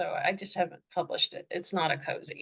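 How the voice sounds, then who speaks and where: This woman speaks at a moderate pace. She has a slight Southern US accent. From US South. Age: middle-aged. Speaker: author. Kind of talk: interview.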